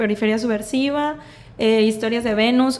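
There is noticeable background noise. Through it, a woman talks. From Mexico, Sinaloa (Mazatlán). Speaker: feminist activist. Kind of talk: casual interview.

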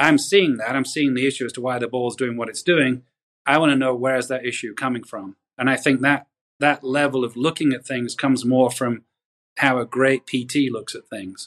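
The speaker has a northern English accent. The pace is moderate and the intonation fairly even. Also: man, medium pitch for a man. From northwest England. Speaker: golf coach. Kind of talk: interview.

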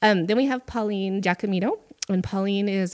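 In a plain, everyday voice with an American accent, the speaker moves at a moderate pace with fairly even intonation, on a very clean recording with a silent background. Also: woman. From Butte, Montana. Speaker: economic development director. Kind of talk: casual interview.

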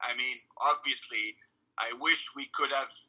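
A man with a French Canadian accent at a fairly slow pace. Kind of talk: interview.

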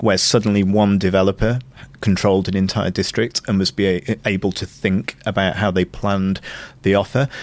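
A man with a Manchester accent talks at a fairly quick pace in a flat, monotone delivery. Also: fairly low pitch for a man. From northern England, Glossop near Manchester. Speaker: food and culture consultant. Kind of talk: interview.

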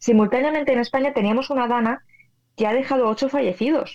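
Talking at a fairly quick pace, a woman speaks with a high pitch. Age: 30s. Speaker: physicist and meteorologist. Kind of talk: interview.

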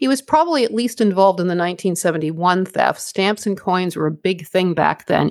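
A woman with an ordinary speaking voice talks at a fairly quick pace, her medium pitch moving with ordinary variation. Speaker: podcast co-host. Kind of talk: true-crime narration, two hosts trading off. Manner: measured, matter-of-fact, storytelling cadence; conversational, slightly apologetic, informal with listeners.

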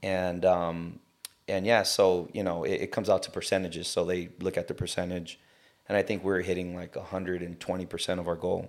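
With an American accent, a man speaks at a very deep, low pitch in a monotone, flat intonation. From Southern California (South Gate, LA area). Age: 30s. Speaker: gym owner. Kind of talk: casual interview.

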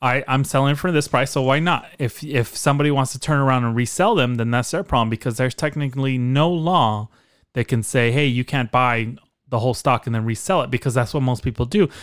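Speaking at a fairly quick pace, a man uses a normal speaking voice, medium in pitch with ordinary variation. The recording is very clean, with a silent background. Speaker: podcast co-host. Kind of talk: casual chat.

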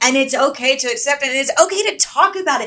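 A woman's high-pitched, raised and projected voice in an American accent, very fast and animated. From US South, Atlanta, Georgia. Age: 40s. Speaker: actress and filmmaker. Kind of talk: casual chat.

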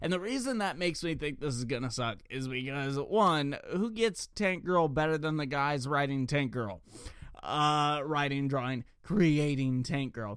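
A man with an American accent has a plain, everyday voice, fairly high in pitch with ordinary pitch variation, at a fairly slow pace. The recording is very clean, with a silent background. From Ohio. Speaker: podcast host. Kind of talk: solo news commentary podcast. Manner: casual, with many filler words.

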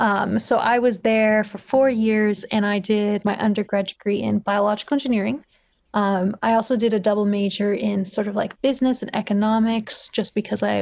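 Against a quiet background, a woman with a Californian accent speaks at medium pitch and a moderate pace, her intonation fairly even. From Los Angeles, California. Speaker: PhD student, vaccine researcher. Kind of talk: interview conversation.

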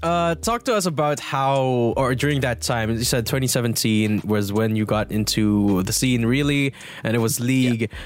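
A man speaks at a moderate pace with hardly any pauses, his pitch medium and its variation ordinary. Noticeable background noise runs under the recording. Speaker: podcast host. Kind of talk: casual podcast chat.

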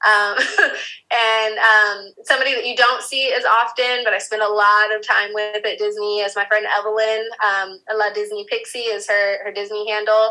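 A bright, sharp tone with monotone, flat intonation. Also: woman, fairly high pitch for a woman, moderate pace. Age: 30s. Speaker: Disney content creator and mom. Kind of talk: interview conversation. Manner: hesitant, with many fillers.

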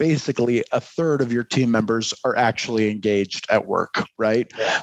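In an American accent, a man speaks with lively intonation at a moderate pace, the sound dry and close with no echo. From US Midwest, Detroit. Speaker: marketing executive and adjunct professor. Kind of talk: casual interview. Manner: halting, many repeated words.

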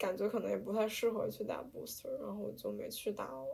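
A woman speaks at a fairly quick pace. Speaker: podcast host, art student abroad. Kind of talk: casual chat.

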